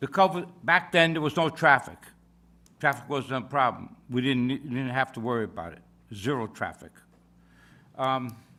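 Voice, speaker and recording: With a very clean recording and silent background, a man speaks in a bright, sharp, medium-pitched voice at a moderate pace, leaving long, frequent pauses. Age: 80s+. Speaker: local resident at public hearing. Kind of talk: public comment at town meeting. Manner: loud; halting.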